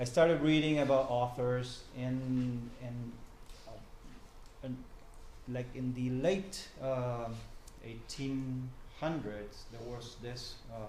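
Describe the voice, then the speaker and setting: Speaking with an Argentine accent at medium pitch, a man talks at a very slow pace with long, frequent pauses, fairly even intonation and big swings in loudness, amid audible room echo and noticeable background noise. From Argentina, Buenos Aires. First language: Spanish. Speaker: journalist and professor. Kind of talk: talk to a small group. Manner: halting, many fillers.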